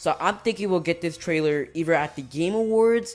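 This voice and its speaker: A woman speaks quickly enough in an unremarkable speaking voice, her fairly low pitch moving with lively intonation. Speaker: youtuber. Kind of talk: casual vlog talk.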